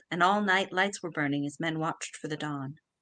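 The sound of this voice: Speaking in an American accent, a woman has a bright, sharp tone and a fairly quick pace.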